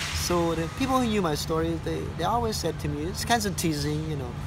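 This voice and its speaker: Noticeable background noise runs under this recording. A man with a Cambodian accent talks at a fairly quick pace. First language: Khmer. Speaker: tour guide. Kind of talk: personal testimony of surviving the Khmer Rouge era. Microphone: phone near.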